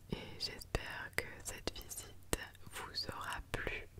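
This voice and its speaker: A woman whispering amid noticeable background noise. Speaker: ASMR content creator / vlogger. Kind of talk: casual talk to camera, travel vlog narration. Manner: whispered.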